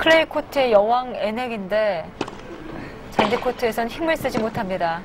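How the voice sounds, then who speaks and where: Noticeable background noise behind a woman speaking at a fairly high pitch. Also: lively intonation. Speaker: play-by-play tennis commentator. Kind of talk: live sports commentary. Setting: broadcast recording, replayed match. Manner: fast, excited play-by-play delivery; rapid-fire short calls, rising energy at match point.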